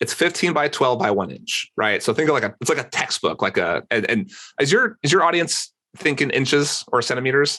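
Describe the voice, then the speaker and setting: With an American accent, a man talks at a fairly quick pace and a fairly high pitch. His pitch swings very widely. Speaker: e-commerce entrepreneur. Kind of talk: podcast interview. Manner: fast; animated.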